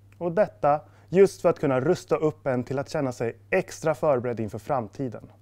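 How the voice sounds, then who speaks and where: Against a quiet background, a man with a fairly high pitch and a dark, mellow tone speaks at a moderate pace with ordinary pitch variation. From Stockholm, Sweden. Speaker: sport psychology student, former esports player; esports coach. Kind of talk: scripted presentation. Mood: friendly, calm, smiling. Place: studio.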